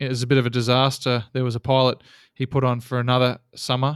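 A man with an Australian accent talks fairly quickly at a medium pitch. The sound is dry and close with no echo, a very clean recording with a silent background. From Australia, Geelong (Victoria). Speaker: seaplane pilot and operator. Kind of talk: casual interview.

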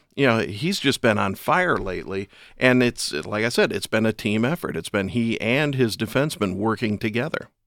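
A man's medium-pitched voice at a moderate pace, lively intonation and hardly any pauses, on a very clean recording with a silent background. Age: 50s. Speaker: hockey play-by-play broadcaster. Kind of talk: casual chat. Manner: halting.

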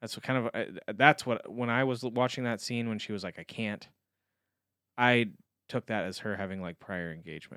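Bright, sharp tone in a man's voice of medium pitch. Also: ordinary pitch variation, moderate pace, dry, close sound with no echo, very clean recording, silent background. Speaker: returning guest. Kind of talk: casual chat.

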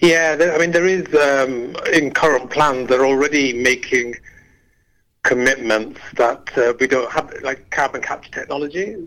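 A man with a Yorkshire accent, fairly high in pitch, with a bright, sharp tone. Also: ordinary pitch variation, fairly slow pace. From Leeds, northern England. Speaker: climate activist. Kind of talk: radio interview. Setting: phone call.

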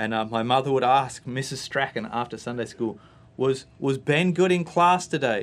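A man speaks with an Australian accent at a medium pitch. His pace is moderate, with ordinary pitch variation. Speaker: guest giving testimony. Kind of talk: testimony, conversational interview. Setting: radio studio.

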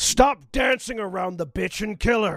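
A man uses a put-on character voice, pitched high and delivered at a medium speed. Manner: aggressive, shouting.

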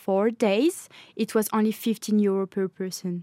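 With a French accent, a woman of medium pitch speaks at a fairly slow pace in a dark, mellow tone, on a very clean recording with a silent background and a dry, close sound with no echo. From France. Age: 20s. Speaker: law student. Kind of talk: casual chat. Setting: studio.

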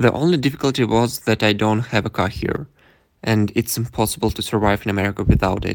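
On a very clean recording with a silent background, a man with a Russian accent speaks at a fairly quick pace and a fairly low pitch, with ordinary pitch variation. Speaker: exchange student. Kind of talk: interview.

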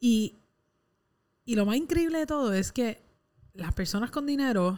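Using very wide pitch swings, a woman talks with a Puerto Rican accent. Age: 20s. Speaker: podcast co-host. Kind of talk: casual chat.

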